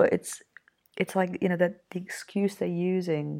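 A woman speaks in an English accent. She keeps a moderate pace. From Yorkshire, England. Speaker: podcast host. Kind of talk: solo casual monologue. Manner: hesitant, many ums and fillers.

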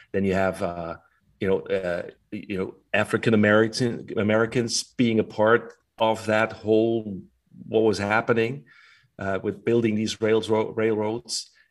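With a German accent, a man speaks at a fairly low pitch and a fairly slow pace in a flat monotone, captured in a very clean recording with a silent background. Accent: German-speaking. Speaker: podcast co-host. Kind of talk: casual chat. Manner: halting.

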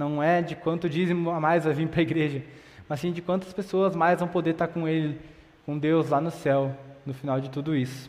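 There is audible room echo around a man speaking with fairly even intonation. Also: fairly high pitch for a man, moderate pace. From southern Brazil, Sapiranga (Rio Grande do Sul). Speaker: seminary student preacher. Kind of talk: sermon. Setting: church, livestreamed.

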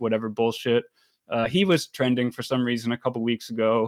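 A man with an American accent and a normal speaking voice talks at a moderate pace and medium pitch, his intonation fairly even, in a dry, close sound with no echo on a very clean recording with a silent background. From Maryland, US. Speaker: podcast host. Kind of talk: casual chat.

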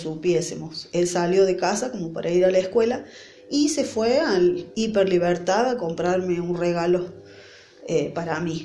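Speaking at a fairly slow pace, a woman with a fairly low pitch and ordinary pitch variation is heard over noticeable background noise and audible room echo. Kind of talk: devotional sermon. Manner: halting, with fillers.

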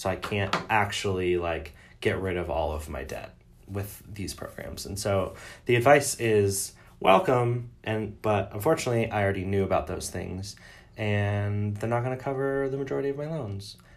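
In a room with audible echo, a man with an American accent talks at a moderate pace, his pitch fairly low and his intonation lively. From Metro Detroit, Michigan. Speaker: podcast co-host, teacher. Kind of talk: casual chat.

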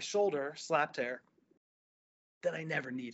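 A man with a New Jersey accent. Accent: New Jersey American. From US, New Jersey. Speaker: physical therapist and entrepreneur. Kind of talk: interview conversation.

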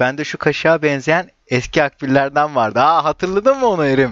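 A man talks at a fairly quick pace in a normal speaking voice, his pitch fairly high and his pitch variation ordinary. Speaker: stand-up comedian. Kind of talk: casual chat.

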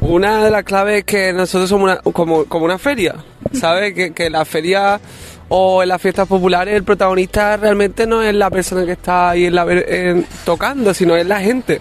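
A man with a high pitch speaks at a moderate pace, his intonation fairly even and his loudness very even. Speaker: musician. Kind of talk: interview. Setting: outdoors in a city square. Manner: halting.

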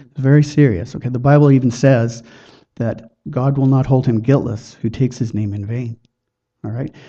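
Somewhat breathy, a man speaks at a moderate pace with a medium pitch and fairly even intonation. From Chilliwack, British Columbia, Canada. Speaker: lay evangelist. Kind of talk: witnessing demonstration.

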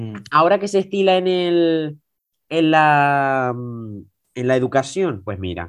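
A normal speaking voice at a fairly slow pace, lively intonation and a quiet background. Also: man. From Tenerife, Canary Islands. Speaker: young guest, student. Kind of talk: casual chat.

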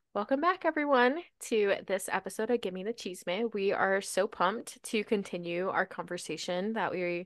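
Against a quiet background, a woman with an American accent speaks at a moderate pace. She has an ordinary speaking voice with ordinary pitch variation. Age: 20s. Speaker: podcast co-host. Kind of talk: casual chat.

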